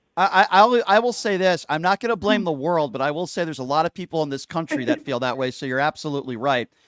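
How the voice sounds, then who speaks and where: A man rattles along at a very fast pace with hardly any pauses, his fairly high voice full of lively intonation. The recording is very clean with a silent background and a dry, close sound with no echo. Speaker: radio show host. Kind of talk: radio talk show rant.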